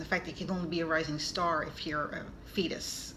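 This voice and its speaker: With a New York accent, a woman speaks at a moderate pace and a fairly low pitch. Her intonation is fairly even, and there is noticeable background noise. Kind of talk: casual talk to camera.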